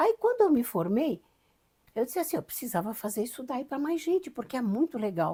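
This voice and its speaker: A high-pitched woman with a dark, mellow tone and very wide pitch swings, talking at a fairly quick pace in a very clean recording with a silent background. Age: 70s. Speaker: mystic and regression therapist. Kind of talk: interview conversation. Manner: animated, with repetitions and stammers.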